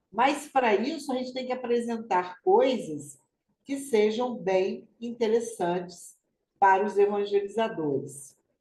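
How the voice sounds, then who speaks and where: A woman's fairly high, somewhat breathy voice in a dark, mellow tone, with lively intonation at a fairly slow pace. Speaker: spiritist study group coordinator. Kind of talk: online study group announcements. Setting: video call.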